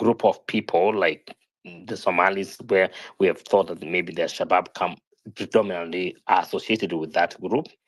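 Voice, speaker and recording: A man with a non-native accent talks at a fairly low pitch in a very clean recording with a silent background. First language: not English. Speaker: panelist in online discussion. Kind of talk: live-stream panel discussion.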